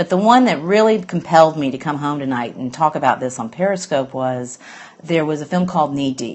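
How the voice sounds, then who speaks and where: A woman with an Alabama accent talks at a fairly quick pace. Her pitch is very deep and low, and her intonation is lively. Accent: Southern US (Alabama). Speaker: green business blogger. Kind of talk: casual live-stream monologue. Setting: live stream from home, late at night. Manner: hesitant, lots of fillers.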